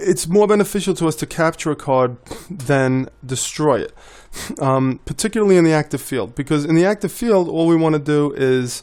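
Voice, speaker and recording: A man is talking. His voice sits fairly high. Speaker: board game designer and video tutor. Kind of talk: tutorial. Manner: fast; casual with many fillers.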